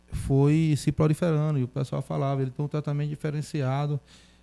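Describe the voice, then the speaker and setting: The sound is dry and close with no echo as a man speaks in a dark, mellow tone. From Feira de Santana, Bahia, Brazil. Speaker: city councillor. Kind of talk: interview.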